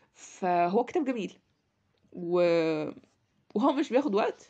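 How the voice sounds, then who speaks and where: Her pitch swinging very widely, a woman speaks with an Egyptian accent. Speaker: podcast host, book reviewer. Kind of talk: casual book review monologue. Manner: halting, many fillers.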